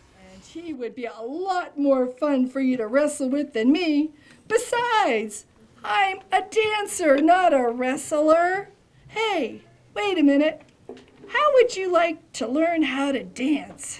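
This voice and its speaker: In a cartoonish character voice, a woman speaks with a high pitch. Her pace is fairly slow. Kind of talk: children's puppet show performance.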